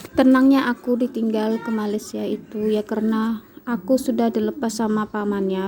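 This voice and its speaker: Noticeable background noise runs behind this recording. A woman speaks with a fairly high pitch and fairly even intonation. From Kalimantan, Indonesia. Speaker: vlogger, housewife. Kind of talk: casual vlog storytelling. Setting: at home. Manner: halting, many fillers.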